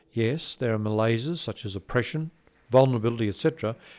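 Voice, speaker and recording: A man with an Australian accent, ordinary pitch variation and a fairly quick pace. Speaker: conference presenter reading a tribute paper. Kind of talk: reading aloud a prepared tribute paper. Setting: conference presentation. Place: studio. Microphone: studio mic.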